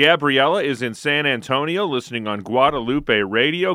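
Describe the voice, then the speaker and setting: With an ordinary speaking voice, a man talks, his pitch varying in an ordinary way. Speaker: radio show co-host and announcer. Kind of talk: radio hosting and call management. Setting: radio studio. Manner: upbeat, polished announcer delivery.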